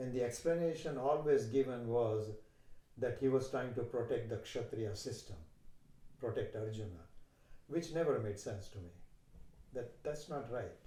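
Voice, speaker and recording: Somewhat breathy and dark, mellow in tone, the voice carries a Gujarati accent at a moderate pace with ordinary pitch variation, long, frequent pauses and audible room echo. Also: man, medium pitch for a man. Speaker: yoga teacher. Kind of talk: interview conversation.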